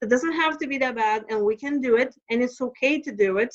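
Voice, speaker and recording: A woman speaks with a Lithuanian accent at a high pitch and a fairly quick pace. Her pitch varies an ordinary amount, and the sound is dry and close with no echo. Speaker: stress management coach. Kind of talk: podcast interview. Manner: halting.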